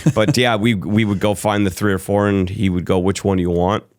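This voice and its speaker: A man's fairly low voice at a moderate pace, with an American accent. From mixed: New Jersey, Chicago suburbs, Atlanta. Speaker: sales and brand marketing professional. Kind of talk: interview, casual storytelling. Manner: halting, with self-interruptions.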